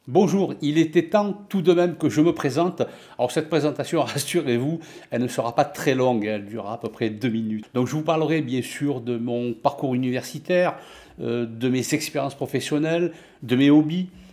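This man's fairly high voice has a dark, mellow tone, ordinary pitch variation, and a moderate pace. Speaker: office software and finance tutor; finance tutor. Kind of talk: self-introduction; channel self-introduction. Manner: hesitant, many fillers. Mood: friendly, warm. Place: home room. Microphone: webcam.

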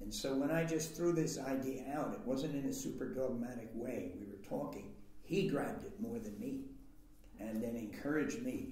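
The voice moves at a moderate pace. Audible room echo surrounds it. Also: man. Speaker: interviewee. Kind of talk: interview answer. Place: meeting room.

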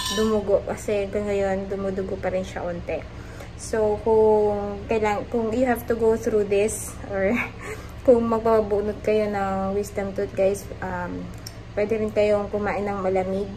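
A woman's strained voice in a flat monotone, over light background noise. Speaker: vlogger. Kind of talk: casual vlog chat. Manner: careful, restrained speech with sore jaw. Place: home room. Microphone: phone near.

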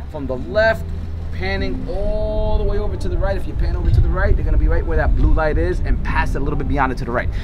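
A man rushes along at a very fast pace while loud background noise fills the clip. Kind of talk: casual vlog chat. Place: open country.

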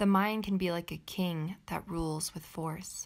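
Speaking at a fairly slow pace, a woman with a normal speaking voice has a fairly low pitch and fairly even intonation. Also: very clean recording, silent background. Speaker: meditation teacher. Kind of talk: guided meditation. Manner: slow, calm, soothing.

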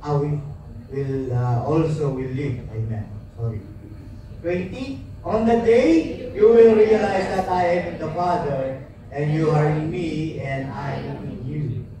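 A man with a fairly high pitch speaks at a very slow pace with very wide pitch swings, over noticeable background noise. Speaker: church reader or emcee. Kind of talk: reading scripture aloud.

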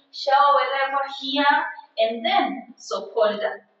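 A woman speaks at a high pitch with ordinary pitch variation. Audible room echo surrounds her voice. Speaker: vlogger. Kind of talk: casual vlog chat, house tour. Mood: excited, cheerful. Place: home room.

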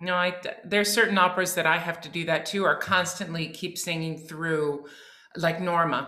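With noticeable background noise behind her, a woman talks fairly quickly in a fairly low pitch. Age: 50s. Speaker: podcast co-host. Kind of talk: casual chat. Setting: video call. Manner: animated.

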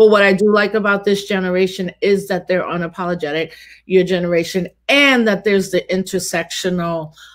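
With a New York accent, a woman at a medium pitch speaks at a fairly quick pace with fairly even intonation against a quiet background. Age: 40s. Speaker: activist and scholar; guest. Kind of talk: casual conversation. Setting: video call. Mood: reflective, conversational. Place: home room.

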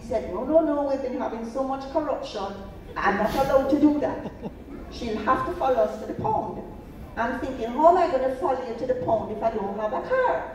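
Delivered at a fairly quick pace with ordinary pitch variation, the speech carries audible room echo and light background noise. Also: woman, high pitch for a woman. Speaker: storyteller on stage. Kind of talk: storytelling performance. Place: stage.

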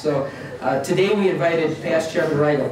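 There is audible room echo and light background noise as a man talks. His pace is moderate and his pitch variation ordinary. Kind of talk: formal meeting address. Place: hall. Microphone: camera far.

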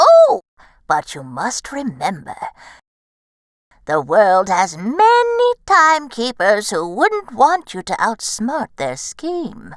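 On a very clean recording with a silent background, a woman uses a put-on character voice at a very slow pace. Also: fairly high pitch for a woman. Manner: sly, teasing.

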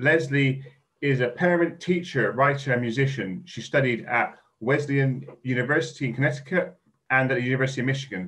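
Fairly quick speech from a man of medium pitch with ordinary pitch variation. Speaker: event host. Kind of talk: event introduction. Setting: video call. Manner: halting, filler-heavy. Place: home room. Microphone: video call.

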